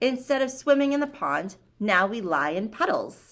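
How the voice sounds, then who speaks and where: A gruff, put-on character voice delivers its lines at a moderate pace. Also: woman, high pitch for a woman. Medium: read story. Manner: gruff, grumbling.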